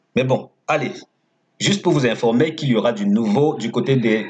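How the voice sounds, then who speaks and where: A man of medium pitch with a non-native accent, lively intonation and a fairly slow pace. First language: not French (speaking French). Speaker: horse racing tipster. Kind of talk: tips video with sales pitch. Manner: casual, conversational.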